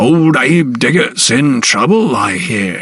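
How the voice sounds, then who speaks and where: Using a put-on character voice, a man speaks fairly slowly at a medium pitch, raspy and with very wide pitch swings. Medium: read story. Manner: sly, knowing.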